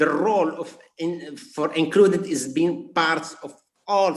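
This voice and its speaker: A man's fairly high voice with a non-native accent. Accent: non-native English speaker. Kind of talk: webinar presentation. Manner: halting, many repetitions.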